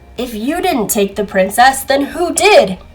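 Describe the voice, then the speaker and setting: A woman's put-on character voice at a moderate pace. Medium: read story.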